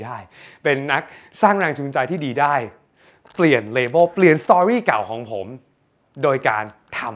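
An energetic man with a fairly high voice speaks with lively intonation. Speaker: self-help content creator and businessman. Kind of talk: motivational talk.

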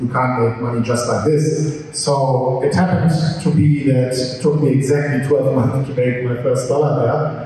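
A man speaks at a medium pitch and a moderate pace, with fairly even intonation. Audible room echo can be heard.

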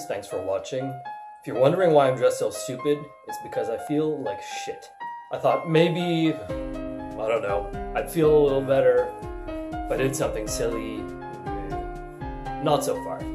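Moderate pace with long, frequent pauses, over noticeable background noise. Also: man. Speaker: vlogger. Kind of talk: casual talk to camera. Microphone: webcam.

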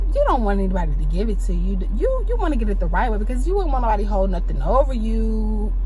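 Music plays in the background as a woman speaks at a very fast pace, the sound dry with no echo. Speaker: TV show reviewer. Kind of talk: casual vlog commentary. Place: car. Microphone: phone near.

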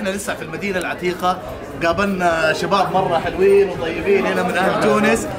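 Someone speaks at a moderate pace with crowd noise in the background. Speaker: food vlog host. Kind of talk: casual vlog chat. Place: street. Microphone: phone near.

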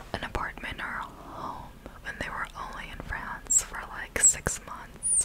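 A soft-spoken woman whispers at a fairly slow pace over loud background noise. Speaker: storytelling vlogger. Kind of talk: casual vlog chat. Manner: soft close-mic ASMR whisper. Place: home room. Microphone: studio mic.

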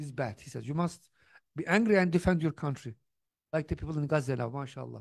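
Over a quiet background, a man talks at a very fast pace in a somewhat breathy voice with ordinary pitch variation and long, frequent pauses. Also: fairly high pitch for a man. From Turkey. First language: Turkish. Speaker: theology professor and speaker; theology professor, speaker. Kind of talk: lecture. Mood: warm, animated storytelling. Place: hall. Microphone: handheld.

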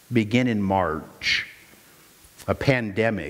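A man with an American accent speaks at a very slow pace. Room echo is audible. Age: 50s. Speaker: pastor. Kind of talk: sermon; prayer. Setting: church.

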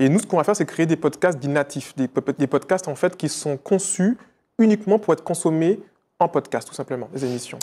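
This man's voice has a dark, mellow tone and a fairly high pitch for a man. He talks at a fairly quick pace with lively intonation. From Martinique. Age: 30s. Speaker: entrepreneur; interview guest. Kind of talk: interview. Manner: hesitant, with many fillers. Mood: calm, reflective. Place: studio. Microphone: lapel.

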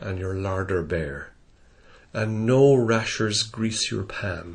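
A man's somewhat breathy, fairly low voice at a very slow pace, with audible room echo. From Irish Midlands. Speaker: poetry reader. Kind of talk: reading aloud.

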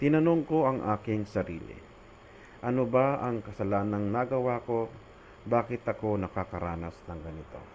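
Speaking at a moderate pace with lively intonation, a man has an unremarkable speaking voice at medium pitch. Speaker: religious storyteller. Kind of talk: testimony.

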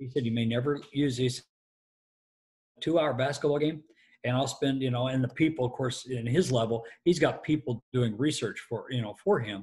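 A man with an American accent speaks in a somewhat breathy voice over a quiet background. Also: ordinary pitch variation, moderate pace. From US Midwest. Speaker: stadium announcer. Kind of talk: interview answer, telling anecdotes.

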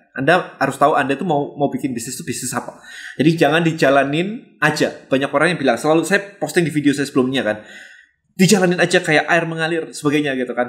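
The background is quiet. A man talks at a very fast pace with a fairly high pitch. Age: 40s. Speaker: business coach. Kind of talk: motivational talk. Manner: casual, heavy English code-switching. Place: home room.

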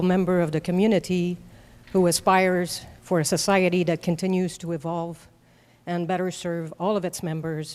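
In a French Canadian accent, a woman speaks at a moderate pace in a flat monotone with fairly low pitch, on a very clean recording with a silent background. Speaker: public commenter at school board meeting. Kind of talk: prepared public comment. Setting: school board meeting. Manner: formal.

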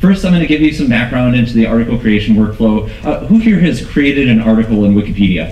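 A man's very fast, lively-intoned speech with audible room echo. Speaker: research scientist. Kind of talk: conference talk. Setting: stage with audience. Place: hall.

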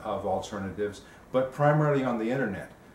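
A man amid light background noise, with audible room echo. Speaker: simple living activist and podcaster. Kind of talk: interview. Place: home room. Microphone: camera far.

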